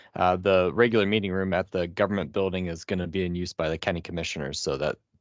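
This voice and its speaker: In a dry, close recording with no echo and a quiet background, a man talks at a very fast pace with a very deep, low pitch. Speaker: training organizer. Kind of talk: meeting wrap-up announcements. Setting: video call.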